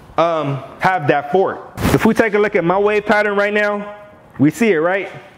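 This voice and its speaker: A man's voice with noticeable background noise. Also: long, frequent pauses. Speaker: hair care YouTuber. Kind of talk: tutorial. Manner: casual.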